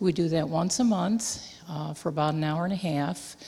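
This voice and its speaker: Very deep, low-pitched woman's voice with fairly even intonation and noticeable background noise. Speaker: missionary. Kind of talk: missionary report to a congregation. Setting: church.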